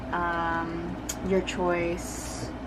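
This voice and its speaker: Recorded with noticeable background noise and audible room echo, a woman's voice comes through. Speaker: K-pop photocard collector vlogger. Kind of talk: casual collection flip-through. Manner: fast; animated.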